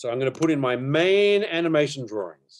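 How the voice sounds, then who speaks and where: A man with an Australian accent at a fairly quick pace. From Australia, Melbourne. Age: 40s. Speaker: animation teacher. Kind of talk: online workshop tutorial. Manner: casual, hesitant with fillers.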